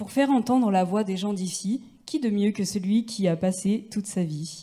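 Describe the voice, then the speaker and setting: A woman speaks at a fairly slow pace. Her tone is dark and mellow, somewhat breathy. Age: 20s. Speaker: bike mechanic and cycling activist. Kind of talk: reading aloud. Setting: stage with audience.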